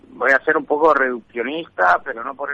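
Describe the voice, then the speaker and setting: A man's fairly high voice for a man, at a fairly slow pace with ordinary pitch variation. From Spain, Extremadura. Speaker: foreign correspondent. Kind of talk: live remote report, conversational. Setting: remote call from hotel in Latin America. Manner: halting, with many restarts. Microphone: unstable signal, connection drops.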